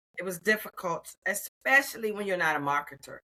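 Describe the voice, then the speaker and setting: Animated and bright, with a sharp tone, a woman with an American accent speaks with very wide pitch swings. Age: 60s. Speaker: retired federal employee turned AI consultant. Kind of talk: interview.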